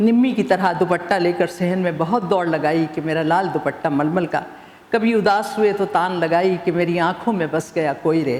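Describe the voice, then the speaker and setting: With a normal speaking voice, a woman talks at a fairly low pitch with ordinary pitch variation. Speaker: author and former TV newsreader. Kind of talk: satirical prose reading.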